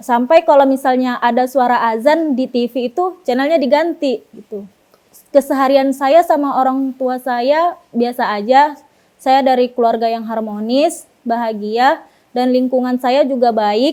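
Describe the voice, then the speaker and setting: A woman's high voice, dark and mellow in tone, fairly slow, with ordinary pitch variation. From Pekanbaru, Riau, Indonesia. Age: 20s. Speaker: convert giving testimony. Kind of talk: testimony. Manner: casual, with hesitations.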